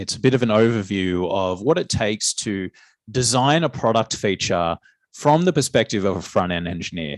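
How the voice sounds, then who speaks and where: At a moderate pace, a man with a fairly low pitch talks in an Australian accent. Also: lively intonation, very clean recording, silent background. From Australia (Newcastle, NSW). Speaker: software engineer giving a guest talk. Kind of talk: guest lecture to students.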